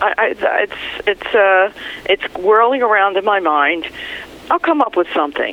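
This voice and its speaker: A woman speaks at a moderate pace with a medium pitch, her loudness very even and her intonation lively. Long, frequent pauses break up her speech, and noticeable background noise sits behind it. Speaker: former radio news reporter, author. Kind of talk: interview. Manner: laughs easily.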